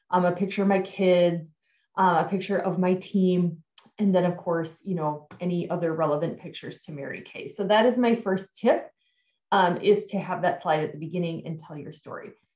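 Against a quiet background with audible room echo, a woman speaks with fairly even intonation. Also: moderate pace. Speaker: direct sales team leader. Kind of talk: tutorial. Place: home room. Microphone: webcam.

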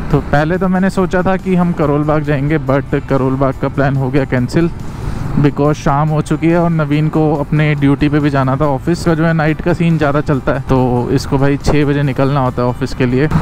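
The speech moves at a moderate pace with fairly even intonation and very even loudness. Music plays in the background of a dry sound with no echo. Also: man. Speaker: motovlogger. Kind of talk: casual vlog chat. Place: motorbike. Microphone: helmet.

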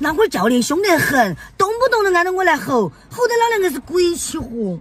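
A woman speaks with an extremely high pitch in a Sichuan accent at a moderate pace. The sound is dry, with no echo. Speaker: comedy skit actor. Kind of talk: comedy sketch dialogue. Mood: annoyed, complaining. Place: car.

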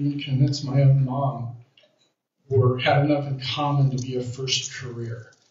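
Somewhat breathy and fairly high-pitched, a man talks at a fairly slow pace. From California. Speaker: retired professor running for office. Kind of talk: campaign speech. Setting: church.

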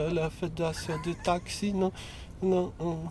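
A man at a high pitch, very slow pace and monotone, flat intonation. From France. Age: 30s. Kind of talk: casual chat. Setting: in a car. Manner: unusual, atypical speech delivery.

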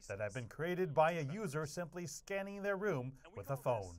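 A man talks in a normal speaking voice, with a fairly high pitch. His intonation is lively, and his pace is moderate. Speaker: news reporter. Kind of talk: news reading. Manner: formal.

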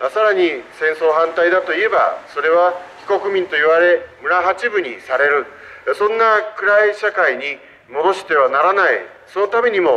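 A man talks in a high pitch, keeping a moderate pace and ordinary pitch variation. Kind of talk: street political speech. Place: street. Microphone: handheld.

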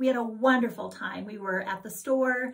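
At a moderate pace, a woman speaks with fairly even intonation over a quiet background. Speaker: cross-stitch vlogger. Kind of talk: casual vlog chat. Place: home room. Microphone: camera far.

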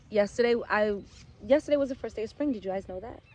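Light background noise and a dry sound with no echo. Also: woman. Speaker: homeschool mom vlogger. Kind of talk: casual vlog chat. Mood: cheerful, upbeat. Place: open country. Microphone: phone near.

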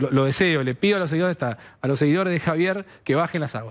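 The speaker moves at a fairly quick pace. The intonation is lively. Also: man. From Argentina. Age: 40s. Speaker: political digital strategist; guest. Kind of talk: TV interview; TV panel debate answer. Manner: halting, many repetitions. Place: studio. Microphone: headset.

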